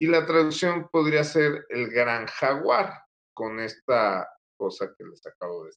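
A man talks at a fairly slow pace with a fairly high pitch, lively intonation and big swings in loudness. It is an ordinary speaking voice. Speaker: author and researcher. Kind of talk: interview answers. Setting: live video stream.

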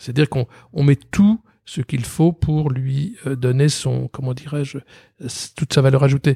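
Speaking at a fairly slow pace with long, frequent pauses, a man with a fairly high pitch and a dark, mellow, somewhat breathy tone uses ordinary pitch variation, heard in a dry, close sound with no echo. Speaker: company president and creative director. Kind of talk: interview. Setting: office.

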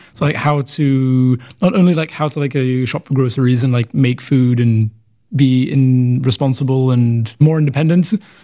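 A man with a London accent talks at a moderate pace in a fairly high pitch. His tone is dark and mellow, and his pitch varies in an ordinary way. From London, England. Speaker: international student. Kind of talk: casual interview. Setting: studio.

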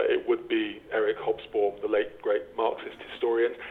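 Background noise can be clearly heard. Over it, a man speaks fairly quickly. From England. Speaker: professor of politics. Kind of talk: interview. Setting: remote recording from Belfast.

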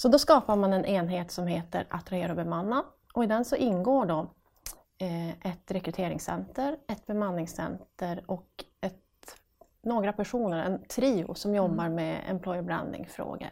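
With a northern Swedish accent, a woman speaks at medium pitch and a moderate pace. Her pitch varies in an ordinary way. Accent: northern Swedish Piteå dialect. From northern Sweden, Piteå. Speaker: recruitment section manager at a hospital. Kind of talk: casual interview.

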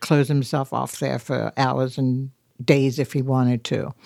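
A woman's dark, mellow tone, dry and close with no echo, in a very clean recording with a silent background. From London, England. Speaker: artist's widow, retired arts administrator. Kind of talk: interview. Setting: museum.

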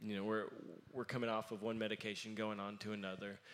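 A man talks in a bright, sharp tone. His intonation stays monotone and flat. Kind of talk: interview. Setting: stage with audience.

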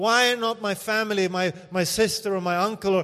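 The man's voice sits high in pitch, and his intonation stays fairly even. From Sweden. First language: Swedish. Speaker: missionary pastor. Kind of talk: sermon. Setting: church.

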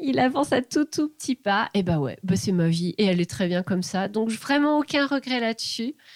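A woman speaks at a moderate pace with hardly any pauses, her fairly high voice swinging very widely in pitch. The sound is dry and close, with no echo. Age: 40s. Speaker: former engineer turned illustrator. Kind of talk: interview. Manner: halting.

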